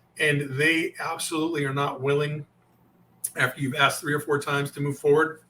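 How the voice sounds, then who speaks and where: A man's fairly high voice at a fairly quick pace, with monotone, flat intonation. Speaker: sales coach. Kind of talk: interview. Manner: fast.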